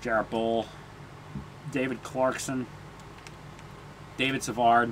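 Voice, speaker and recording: A man speaks at a very slow pace in a medium pitch, with flat, monotone intonation. Noticeable background noise runs under the clip. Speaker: gaming commentator. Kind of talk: gameplay commentary.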